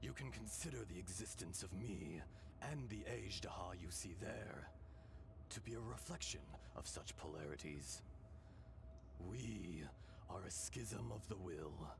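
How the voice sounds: In a put-on character voice full of vocal fry, the speaker goes at a fairly slow pace over clear background noise. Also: man, low pitch for a man, lively intonation.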